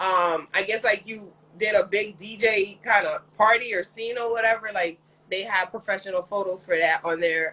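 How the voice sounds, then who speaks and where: This woman has an ordinary speaking voice at a medium pitch with ordinary pitch variation. She keeps a moderate pace. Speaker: talk show host. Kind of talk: interview questions.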